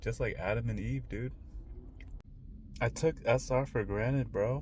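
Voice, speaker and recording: A man speaks at a fairly slow pace. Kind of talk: casual talk to camera. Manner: casual, hesitant.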